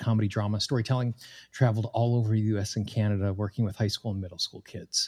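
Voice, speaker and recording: Very fast, somewhat breathy man's voice with an American accent, medium in pitch and dark and mellow in tone, in a very clean recording with a silent background and a dry, close sound with no echo. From Wyoming, US. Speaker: tapping coach and podcast host. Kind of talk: interview.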